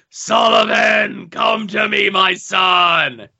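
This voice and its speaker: A man's put-on character voice, high-pitched, raised and projected. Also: very slow pace. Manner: ominous.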